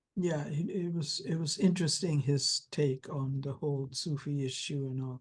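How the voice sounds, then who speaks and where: Speaking with a German accent, a woman with a very deep, low pitch sounds somewhat breathy, keeping ordinary pitch variation and a moderate pace with hardly any pauses. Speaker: interviewee sharing spiritual memories. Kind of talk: interview. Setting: video call.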